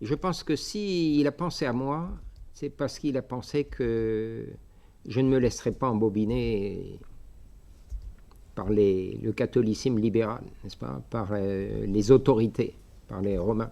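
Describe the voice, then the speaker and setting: At a very slow pace, a man with a slight Algerian accent speaks in a dark, mellow tone at medium pitch, with ordinary pitch variation and long, frequent pauses against a quiet background. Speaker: bishop, missionary priest. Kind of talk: lecture. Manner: halting, many hesitations.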